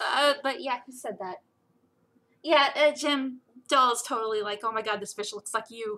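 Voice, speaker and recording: A woman with an American accent speaks in a high pitch with a bright, sharp tone. She keeps a moderate pace but leaves long, frequent pauses. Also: ordinary pitch variation. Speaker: webcomic creator and livestream co-host. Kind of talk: casual chat. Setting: live stream.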